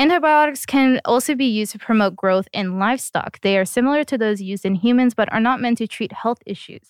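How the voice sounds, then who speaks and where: In a very clean recording with a silent background, a woman with a normal speaking voice talks at a fairly quick pace, fairly high in pitch, with lively intonation and a dry, close sound with no echo. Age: 20s. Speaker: podcast guest. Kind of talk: casual chat.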